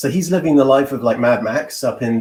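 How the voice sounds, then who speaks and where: Speaking fairly quickly with an English accent, a man holds a medium pitch with ordinary pitch variation. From England. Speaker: legal marketing professional. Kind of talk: casual interview.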